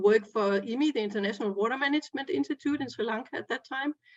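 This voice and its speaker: With a Danish accent, a woman talks at a fairly high pitch with ordinary pitch variation. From Denmark. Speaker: groundwater expert. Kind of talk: panel discussion. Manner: halting, many fillers.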